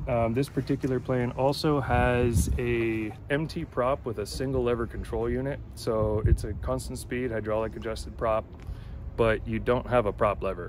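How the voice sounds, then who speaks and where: A man speaks at a moderate pace with a dry sound and no echo. There is noticeable background noise. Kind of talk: interview answer. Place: open country. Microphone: phone near.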